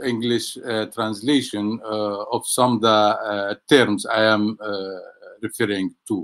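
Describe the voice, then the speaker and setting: In an Arabic accent, a man speaks at a fairly slow pace with a medium pitch. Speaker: economics professor. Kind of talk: webinar talk. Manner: halting, many fillers.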